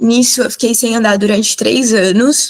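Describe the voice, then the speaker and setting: A woman talks at a fairly high pitch. Her pace is fairly slow. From São Paulo, Perus district. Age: 50s. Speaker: biomedical scientist and cannabis educator. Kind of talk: talk/presentation with slides. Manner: emotional, close to tears.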